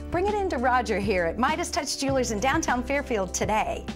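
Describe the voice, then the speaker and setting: With clear music in the background, a woman speaks at a moderate pace in a high pitch, her voice making very wide pitch swings. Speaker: actress. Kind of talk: infomercial host read. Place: shop. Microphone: lapel.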